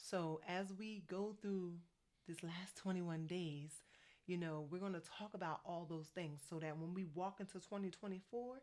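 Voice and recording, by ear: A woman's slightly mellow, fairly low-pitched voice with an American accent and ordinary pitch variation. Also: moderate pace.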